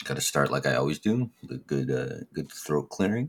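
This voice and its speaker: Lively intonation carries a man's speech, which has vocal fry. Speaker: podcast co-host. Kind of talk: casual chat.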